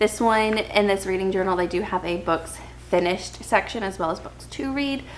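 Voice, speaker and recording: Soft-spoken, a woman talks at a moderate pace with ordinary pitch variation. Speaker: book vlogger, stay-at-home mom. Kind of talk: casual chat. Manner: hesitant fillers.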